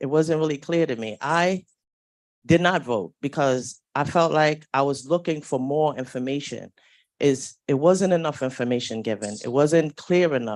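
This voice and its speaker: Against a quiet background, a woman with a New York accent speaks at a fairly slow pace in a very deep, low pitch with ordinary pitch variation. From New York City. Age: 50s. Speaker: public housing tenant. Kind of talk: public comment. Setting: community board meeting.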